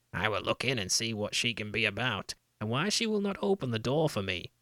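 With lively intonation and a medium pitch, a man talks at a fairly quick pace. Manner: whining, pleading.

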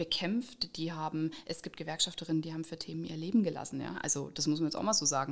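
A woman with a very deep, low voice and vocal fry talks at a very fast pace. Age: 30s. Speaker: trade union organizer. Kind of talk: interview.

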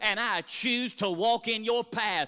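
At a fairly slow pace, a man speaks in a raised, projected voice with an extremely high pitch and a bright, sharp tone. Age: 30s. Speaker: preacher. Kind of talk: sermon.

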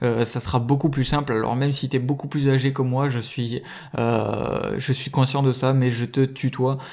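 The man's medium-pitched voice holds a monotone, flat intonation. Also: fairly slow pace. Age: 20s. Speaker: young entrepreneur and podcast host. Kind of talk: solo podcast monologue. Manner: hesitant, many filler words.

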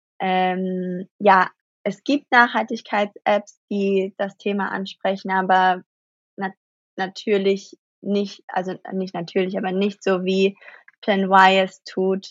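A woman talks at a very slow pace. Her medium-pitched voice is monotone, with flat intonation. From Germany. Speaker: actress and startup founder. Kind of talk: interview. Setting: remote call across the Atlantic.

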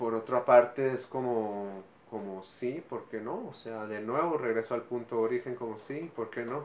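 Over noticeable background noise, a man talks with fairly even intonation and hardly any pauses. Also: medium pitch for a man, fairly slow pace. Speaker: actor and musician. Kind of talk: interview.

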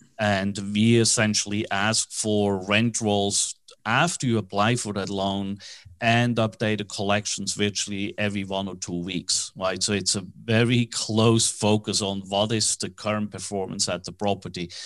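Against a quiet background, a man with a Swiss accent speaks at a moderate pace in a fairly low, monotone, flat voice. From Switzerland. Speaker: commercial real estate financing broker, company founder. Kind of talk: interview.

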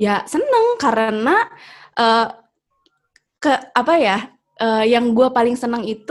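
Its pitch varies in an ordinary way, and it is an ordinary speaking voice. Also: woman. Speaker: singer and vocal coach. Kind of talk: casual panel discussion. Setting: video call.

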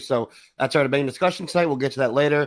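In a normal speaking voice at a medium pitch, a man talks at a fairly quick pace on a very clean recording with a silent background. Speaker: podcast host. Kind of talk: casual banter podcast. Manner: joking, banter.

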